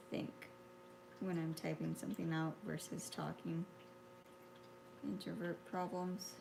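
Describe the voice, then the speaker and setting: A woman speaks quietly at a fairly slow pace. Her pauses are long and frequent. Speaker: artist. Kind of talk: painting tutorial. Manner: halting.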